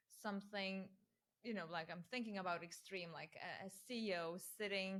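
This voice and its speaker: Speaking at a moderate pace with a non-native accent, a woman keeps her medium pitch and fairly even intonation. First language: not English. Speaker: interviewer. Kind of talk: interview.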